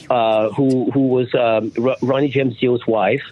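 A man with a French accent and medium pitch speaks at a fairly slow pace with fairly even intonation, with noticeable background noise. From France. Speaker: rock singer and songwriter. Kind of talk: radio interview. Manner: halting, many fillers.

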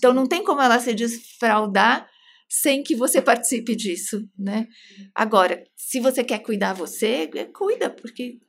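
Over a very clean recording with a silent background, a woman speaks fairly slowly in a fairly high pitch with lively intonation. It is a normal speaking voice. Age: 40s. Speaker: psychoanalyst. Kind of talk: casual chat.

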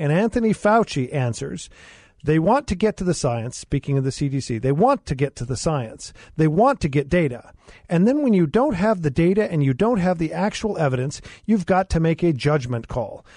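In a quiet background, a man with a high pitch and a dark, mellow tone talks at a moderate pace, his voice making very wide pitch swings. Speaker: attorney and former mayor. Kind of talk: talk radio discussion. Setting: studio.

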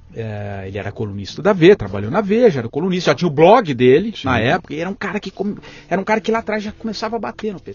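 A man speaks very fast in a high voice with very wide pitch swings. His loudness jumps around a lot over noticeable background noise. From São Paulo state, Brazil (capital and interior). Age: 40s. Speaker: journalist, former radio news director. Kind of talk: interview conversation.

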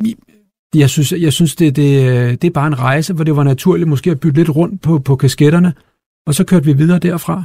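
Somewhat breathy man at a moderate pace, fairly high in pitch with ordinary pitch variation. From Copenhagen, Denmark. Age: 40s. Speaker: company CEO. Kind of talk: interview.

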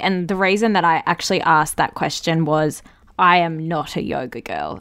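This woman speaks with an Australian accent and a bright, sharp tone. Her intonation stays fairly even. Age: 20s. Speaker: podcast host. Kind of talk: casual interview chat. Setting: remote call.

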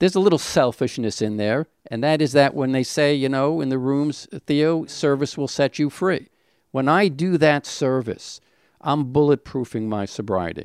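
With an American accent and an ordinary speaking voice, a man talks at a moderate pace and a fairly high pitch with ordinary pitch variation, on a very clean recording with a silent background. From Brooklyn, New York. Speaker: person in addiction recovery. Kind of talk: testimony.

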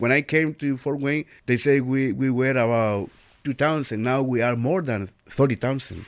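A man's medium-pitched voice with a Spanish accent, fairly even intonation and a moderate pace, on a very clean recording with a silent background. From El Salvador. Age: 50s. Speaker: volunteer radio host. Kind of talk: interview.

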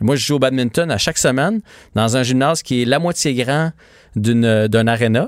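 A medium-pitched man speaks at a moderate pace with ordinary pitch variation and very even loudness. The recording is very clean with a silent background and a dry, close sound with no echo. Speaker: sports journalist. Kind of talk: casual chat. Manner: animated.

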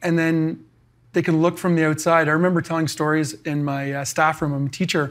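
A man's plain, everyday voice with a Canadian accent, fairly high and fairly quick, with fairly even intonation on a very clean recording against a silent background. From Canada. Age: 40s. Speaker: former pro hockey player and teacher. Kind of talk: interview.

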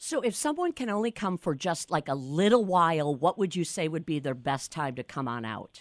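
Low-pitched for a woman, this speaker talks at a moderate pace with lively intonation in a dry, close sound with no echo.

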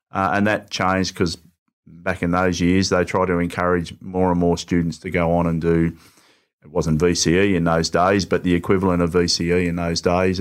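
A man speaks at a moderate pace in a very deep, low voice with an Australian accent. His intonation is flat and monotone, and the recording is very clean with a silent background. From Melbourne western suburbs, Australia. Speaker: state politician. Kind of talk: interview.

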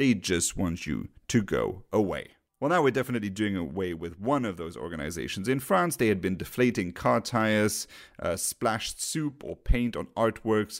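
A man with a fairly low voice speaks at a moderate pace, his lively intonation touched by vocal fry, on a very clean recording with a silent background. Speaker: podcast host. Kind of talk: podcast interview and commentary. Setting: home studio with USB microphone.

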